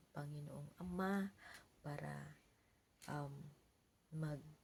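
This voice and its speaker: Soft-spoken and somewhat breathy, a woman speaks in a dark, mellow tone. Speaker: vlogger giving Bible reflections. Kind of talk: Bible reading and casual reflection. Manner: halting.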